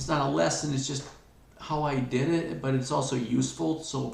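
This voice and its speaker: A man at a medium pitch and moderate pace, with noticeable background noise. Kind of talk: explanatory, conversational. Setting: video. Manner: baseline speaking voice.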